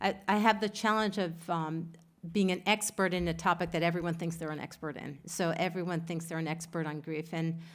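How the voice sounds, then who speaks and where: A woman's fairly low voice at a moderate pace, with fairly even intonation, on a very clean recording with a silent background. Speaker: grief researcher. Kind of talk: lecture. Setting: conference with audience.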